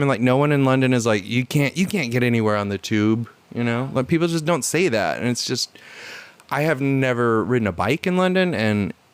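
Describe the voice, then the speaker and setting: Speaking fairly quickly, an unremarkable speaking voice carries lively intonation. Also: man. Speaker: podcast host. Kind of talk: casual conversation.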